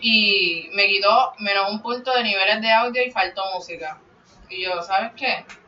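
A woman talks at a fairly slow pace with fairly even intonation. Noticeable background noise runs behind her. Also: medium pitch for a woman. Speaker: podcaster. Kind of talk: casual chat.

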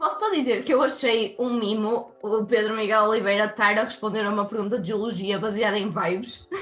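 Over noticeable background noise, a woman talks at a fairly quick pace with hardly any pauses, her fairly high pitch showing ordinary variation. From northern Portugal, Minho (Viana do Castelo). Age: 20s. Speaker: university student, quiz contestant. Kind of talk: casual quiz chat. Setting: video call.

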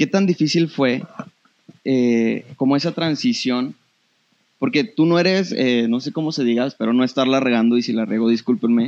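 A man speaks at a fairly quick pace in a medium pitch. He has a plain, everyday voice. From Torreón, northern Mexico. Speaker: podcast host and photographer. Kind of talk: casual interview.

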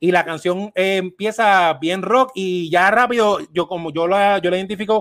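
A man's high-pitched voice with a Puerto Rican accent and fairly even intonation, in a very clean recording with a silent background and a dry, close sound with no echo. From Puerto Rico. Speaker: podcast host. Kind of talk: casual chat.

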